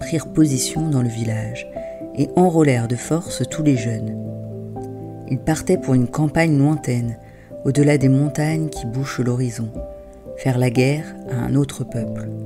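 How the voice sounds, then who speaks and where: The tone is calm and gentle at a fairly slow pace, with long, frequent pauses. Music plays in the background. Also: woman. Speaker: wisdom tale narrator and parenting coach. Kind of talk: soothing wisdom tale for children, bedtime-story style. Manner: calm, gentle, soft-spoken.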